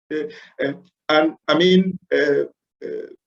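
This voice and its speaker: A man's high voice with a Zambian accent at a very slow pace. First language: Bemba. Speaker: lecturer. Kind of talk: lecture. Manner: halting, many fillers.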